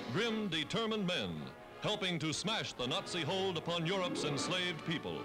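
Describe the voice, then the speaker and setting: Over music in the background, the voice moves at a fairly quick pace with lively intonation and very even loudness. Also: man, high pitch for a man. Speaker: newsreel narrator. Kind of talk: newsreel narration. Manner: emphatic, patriotic.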